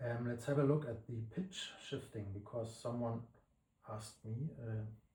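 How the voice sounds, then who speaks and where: A man's voice is dark, mellow and somewhat breathy, at medium pitch. He talks at a moderate pace with ordinary pitch variation. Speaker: plugin developer. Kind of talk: tutorial. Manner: halting.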